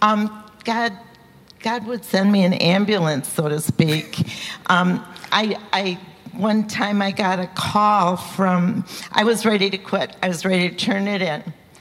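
A woman speaks in a medium pitch at a fairly slow pace. Her intonation is fairly even, and there is noticeable background noise. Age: 70s. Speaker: seminary student. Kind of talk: testimony. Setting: church.

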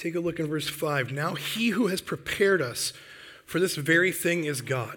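This man speaks at a moderate pace with an Upper Midwest accent, his high pitch carrying a bright, sharp tone and ordinary pitch variation. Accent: Upper Midwest American. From Michigan, US Midwest. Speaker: Bible camp director, guest preacher. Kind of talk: sermon. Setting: church.

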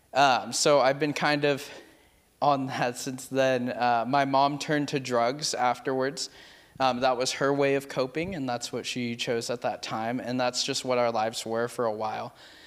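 Speaking in a flat monotone, a man holds a medium pitch. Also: moderate pace. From California, Merced. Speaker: youth pastor. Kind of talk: testimony.

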